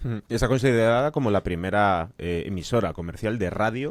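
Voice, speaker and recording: A man's fairly low-pitched voice, a normal speaking voice, at a fairly quick pace, in a very clean recording with a silent background and a dry, close sound with no echo. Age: young. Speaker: podcast host. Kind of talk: interview conversation.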